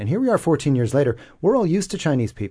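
Over a quiet background, a man with an American accent talks in a dark, mellow, somewhat breathy tone with lively intonation. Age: 40s. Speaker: commentator. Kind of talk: radio panel discussion. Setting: radio studio.

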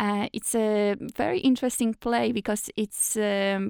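On a very clean recording with a silent background, a woman with a Polish accent speaks at a fairly slow pace with ordinary pitch variation, the sound dry and close with no echo. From Poland. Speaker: actress. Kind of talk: interview.

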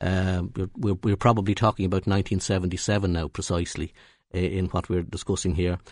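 Speaking with a Dublin accent at a very fast pace, a man with a very deep, low pitch keeps fairly even intonation against a quiet background. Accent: Dublin Irish. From Ireland, North County Dublin. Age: 60s. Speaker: trade union leader. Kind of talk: radio interview. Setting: radio studio. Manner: halting, many repetitions and fillers.

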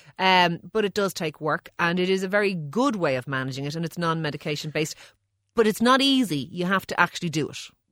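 With an Irish accent, a woman talks at a very fast pace in a fairly low pitch, her intonation lively, on a very clean recording with a silent background. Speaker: doctor. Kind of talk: casual banter about health questions, with a radio co-host. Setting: radio studio.

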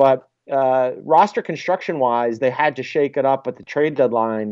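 A man speaks in a Philadelphia accent with a fairly high pitch. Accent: American, Philadelphia. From Philadelphia, US. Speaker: sports journalist. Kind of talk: radio interview. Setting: phone call.

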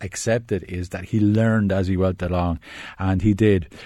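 A man with a Wexford accent, fairly low-pitched with ordinary pitch variation and a dark, mellow tone, at a moderate pace on a very clean recording with a silent background. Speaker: film critic. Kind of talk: casual chat. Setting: studio. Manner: hesitant, many fillers.

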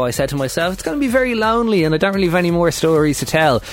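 Over noticeable background noise, a man with an Irish accent speaks with lively intonation. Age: 20s. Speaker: radio host. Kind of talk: casual chat.

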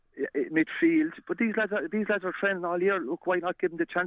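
A man speaks with an Irish accent. He talks at a very fast pace. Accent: Tipperary Irish. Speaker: former hurling captain, pundit. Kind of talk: casual sports chat. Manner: halting, repeats words.

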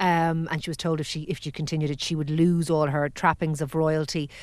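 The speaker talks at a fairly quick pace in an Irish accent. The recording is very clean, with a silent background. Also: woman. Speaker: podcast host. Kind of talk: casual chat. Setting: studio.

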